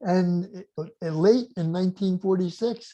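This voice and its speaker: A man speaks with a dark, mellow tone and ordinary pitch variation. The background is quiet. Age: 80s+. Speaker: inventor and business mentor. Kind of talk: interview.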